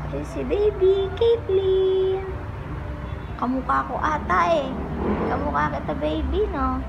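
A woman talks at a very slow pace with music playing in the background. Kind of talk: casual vlog chat. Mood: worried before labor. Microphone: phone near.

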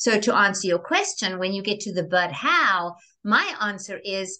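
A woman with a bright, sharp tone speaks at a moderate pace and a medium pitch. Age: 60s. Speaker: reinvention coach; interview guest. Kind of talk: interview. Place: home room. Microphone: video call.

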